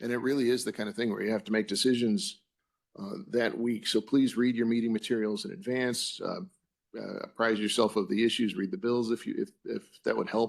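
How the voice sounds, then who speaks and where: Delivered at a fairly quick pace with ordinary pitch variation, the speech sits on a very clean recording with a silent background. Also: man, medium pitch for a man. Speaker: commission executive director. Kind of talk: public meeting roll call and report. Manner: quiet; halting with many fillers.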